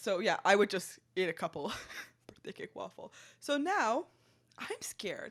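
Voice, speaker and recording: A woman at a moderate pace with big swings in loudness and long, frequent pauses, in a very clean recording with a silent background. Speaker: food podcast co-host. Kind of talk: casual chat.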